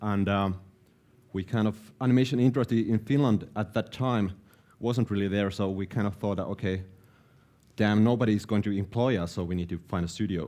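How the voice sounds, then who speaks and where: A man's dark, mellow tone at a fairly quick pace, fairly even intonation and long, frequent pauses, on a very clean recording with a silent background. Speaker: animation director and producer. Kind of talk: conference talk. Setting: live event stage. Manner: hesitant, low-key.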